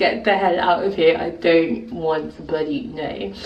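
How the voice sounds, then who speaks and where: Over noticeable background noise and audible room echo, a woman with a British accent speaks fairly slowly in a very deep, low voice. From England, early childhood in Nigeria. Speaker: video blogger. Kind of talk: casual vlog talk. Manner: animated.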